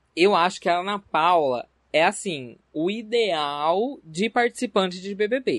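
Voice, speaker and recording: In a dry, close recording with no echo and a quiet background, a man with a high pitch and lively intonation talks very slowly. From Barretos, São Paulo interior, Brazil. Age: 20s. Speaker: podcast host. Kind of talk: casual chat. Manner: animated.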